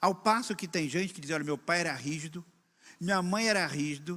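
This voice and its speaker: On a very clean recording with a silent background, a man speaks in a raised, projected voice at a fairly quick pace, with lively intonation and a bright, sharp tone. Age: 60s. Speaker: pastor. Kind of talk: sermon. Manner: conversational.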